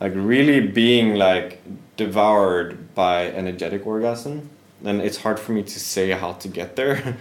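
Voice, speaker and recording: In a Swedish accent, the speaker talks at a moderate pace with ordinary pitch variation and audible room echo. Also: man. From Sweden. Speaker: yoga teacher. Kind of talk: casual interview.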